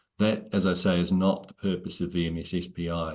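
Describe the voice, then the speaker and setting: In a very deep, low pitch, a man talks at a fairly quick pace with monotone, flat intonation. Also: quiet background. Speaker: software company director; presenter. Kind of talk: webinar Q&A. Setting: video call. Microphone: earbuds.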